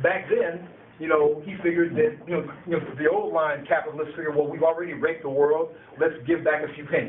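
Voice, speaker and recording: Very fast speech comes from a man with a fairly high pitch and fairly even intonation. Noticeable background noise is present. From Chicago, US Midwest. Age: 60s. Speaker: political activist and former community organizer. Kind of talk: public talk to an audience. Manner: conversational with many hesitations and repeats.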